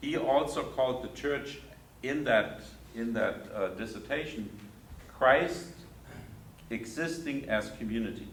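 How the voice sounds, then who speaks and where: With a German accent, a man at medium pitch speaks at a fairly slow pace with long, frequent pauses and ordinary pitch variation, while audible room echo and noticeable background noise fill the recording. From Germany. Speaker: theologian and lecturer. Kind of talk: lecture.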